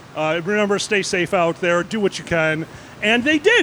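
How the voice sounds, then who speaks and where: Against noticeable background noise, a man uses a raised, projected voice at a moderate pace. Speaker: panelist working on a trading desk. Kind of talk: casual panel storytelling. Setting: basement room with other panelists.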